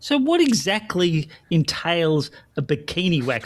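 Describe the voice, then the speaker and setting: This man has a fairly high pitch and an Australian accent. The recording is very clean, with a silent background. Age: old. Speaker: podcast co-host. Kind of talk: casual interview chat.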